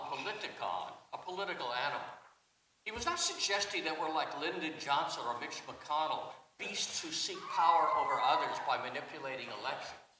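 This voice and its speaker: A man speaks with audible room echo. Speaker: journalist and classical scholar. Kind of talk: panel talk. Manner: rhetorical, emphatic.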